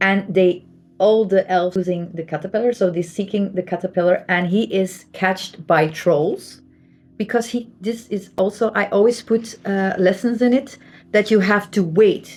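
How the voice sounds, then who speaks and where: With a Flemish accent, a woman speaks at a moderate pace and medium pitch with fairly even intonation as music plays in the background. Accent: Flemish Dutch accent in English. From Belgium (Flanders). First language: Dutch (Flemish). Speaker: artist and spiritual channel host. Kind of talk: casual explanatory talk to camera. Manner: repetitive, emphatic.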